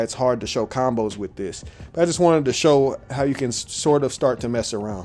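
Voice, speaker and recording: A man talks at a fairly quick pace in a medium pitch. Music plays in the background. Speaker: card game content creator. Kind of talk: gameplay tutorial. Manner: fast; halting, with fillers and restarts.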